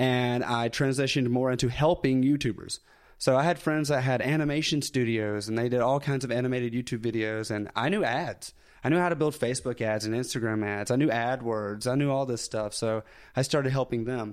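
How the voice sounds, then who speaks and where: With a Southern US accent, a man of medium pitch speaks at a fairly quick pace and ordinary pitch variation in a very clean recording with a silent background. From US South, North Alabama. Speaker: YouTuber. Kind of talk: casual chat.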